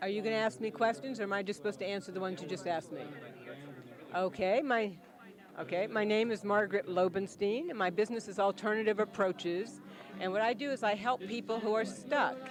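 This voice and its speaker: With crowd noise behind her, a woman of medium pitch talks very fast, her pitch varying in an ordinary way. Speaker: small business owner, career coach. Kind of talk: interview testimonial. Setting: community launch event.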